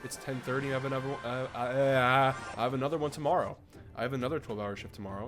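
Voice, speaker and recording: Over music in the background, a man at medium pitch talks at a very fast pace with fairly even intonation. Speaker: gaming youtuber. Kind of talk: gameplay commentary. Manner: monotone.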